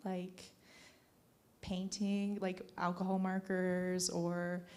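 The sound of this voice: A woman at medium pitch, slightly mellow in tone, with fairly even intonation and a slow pace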